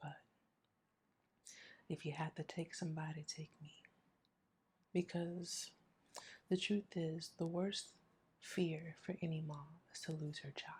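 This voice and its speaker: Somewhat breathy, monotone and flat speech at a fairly slow pace, with big swings in loudness and long, frequent pauses. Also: woman, fairly low pitch for a woman. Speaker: grief vlogger. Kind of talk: personal testimony vlog.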